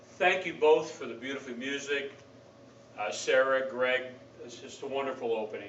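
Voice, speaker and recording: Very wide pitch swings against noticeable background noise. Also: man. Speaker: pastor. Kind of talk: sermon delivered to a congregation.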